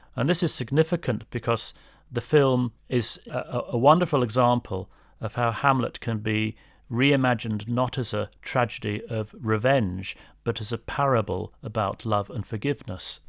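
A man speaks in a British accent at a moderate pace and medium pitch, with ordinary pitch variation. The recording is very clean, with a silent background. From England. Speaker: English professor. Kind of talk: interview.

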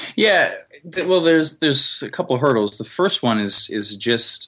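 With a Canadian accent, the speaker uses lively intonation and a bright, sharp tone in a very clean recording with a silent background. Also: man. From Canada. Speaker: YouTuber and travel blogger. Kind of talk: interview. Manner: halting, frequent repetitions and fillers.

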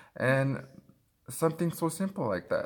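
A man with a Spanish accent talks at a moderate pace with lively intonation. The recording is very clean, its background silent. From Mexico. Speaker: podcast co-host. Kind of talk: casual chat. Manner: halting.

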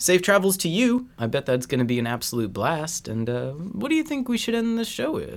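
The voice swings very widely in pitch, moving at a fairly quick pace with hardly any pauses. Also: man, high pitch for a man. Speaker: podcast co-host. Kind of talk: casual chat.

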